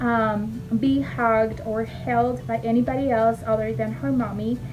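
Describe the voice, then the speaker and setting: In a Spanish accent, the speaker goes at a fairly slow pace with very wide pitch swings, amid audible room echo and noticeable background noise. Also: woman. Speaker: former teacher and mom vlogger. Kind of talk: casual vlog talk to camera. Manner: hesitant, many fillers.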